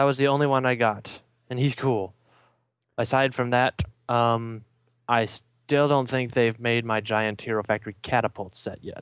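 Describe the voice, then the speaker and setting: In a very clean recording with a silent background, a man with an American accent talks at a moderate pace, his medium pitch and fairly even intonation captured dry and close with no echo. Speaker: fan podcast guest. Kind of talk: casual chat.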